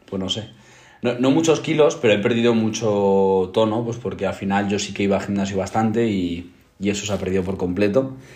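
A man's fairly even intonation, with audible room echo. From Spain, provincial. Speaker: podcast co-host. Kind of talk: casual chat.

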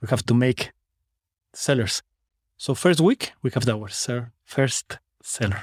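The delivery is very slow and somewhat breathy. Long, frequent pauses break it up. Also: man, medium pitch for a man, ordinary pitch variation. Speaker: business owner and online course student. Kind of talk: casual interview chat. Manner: halting, non-native grammar.

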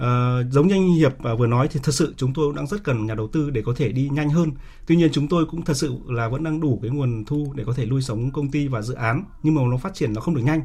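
Very fast and somewhat breathy, a man speaks in a dark, mellow tone with a fairly high pitch and ordinary pitch variation. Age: 40s. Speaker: startup founder. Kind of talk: radio interview.

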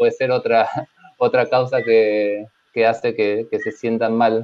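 A man with a medium pitch speaks very slowly in a monotone, flat intonation. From Argentina, San Luis. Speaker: programmer and company partner. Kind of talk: casual panel chat.

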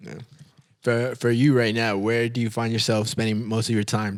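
Here is a man with an unremarkable speaking voice. He talks at a medium pitch and a moderate pace. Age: 20s. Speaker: podcast host. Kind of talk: casual chat.

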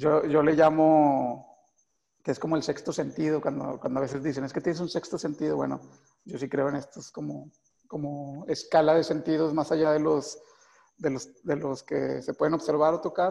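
A man's dark, mellow voice, fairly high in pitch, at a moderate pace. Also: fairly even intonation. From Mexico, Monterrey (Guadalupe, Nuevo León). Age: 30s. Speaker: film director. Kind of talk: interview. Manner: halting, many fillers and repetitions.

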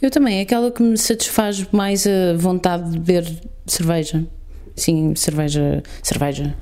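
A woman in a European Portuguese accent, fairly low in pitch, at a fairly slow pace with ordinary pitch variation, amid noticeable background noise. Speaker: podcast co-host. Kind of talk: improvised comedy chat.

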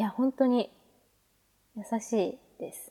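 In a dark, mellow tone, a woman's voice sits at a fairly high pitch. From Hokkaido, Japan. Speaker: pharmacy student and podcaster. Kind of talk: casual chat.

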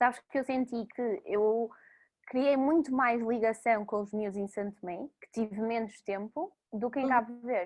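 A woman at a fairly slow pace with ordinary pitch variation, over a quiet background. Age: 20s. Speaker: former volunteer, project founder. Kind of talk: casual interview. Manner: hesitant, with fillers.

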